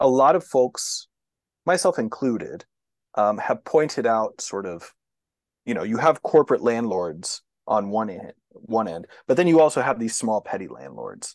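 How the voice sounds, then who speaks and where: The sound is dry and close with no echo as a man with a Texan accent speaks at a medium pitch. His pace is moderate and his pitch swings very widely. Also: big swings in loudness. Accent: Texan American English. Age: 40s. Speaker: sociologist. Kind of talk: interview.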